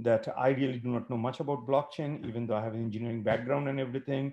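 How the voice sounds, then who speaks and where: A man's voice in a monotone, with flat intonation. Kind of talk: welcome remarks. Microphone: video call.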